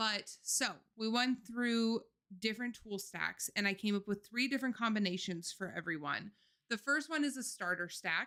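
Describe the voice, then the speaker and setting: Her tone bright and sharp, a woman speaks fairly slowly at a fairly high pitch with ordinary pitch variation. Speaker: marketing workshop presenter. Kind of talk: webinar presentation.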